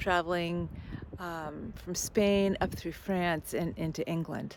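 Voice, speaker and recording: At a very slow pace, a woman speaks with a fairly low pitch. Her intonation is flat and monotone. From United States. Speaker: spiritual vlogger. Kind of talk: personal vlog reflection. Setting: outdoors by the sea. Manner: reflective, halting.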